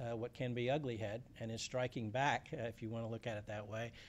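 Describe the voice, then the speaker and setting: Speaking at a very fast pace with a Louisiana accent, a man keeps a medium pitch and a monotone, flat intonation. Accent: Southern (Louisiana). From South Louisiana. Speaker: environmental policy advocate. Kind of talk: panel talk. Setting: conference panel with audience. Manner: halting, many fillers.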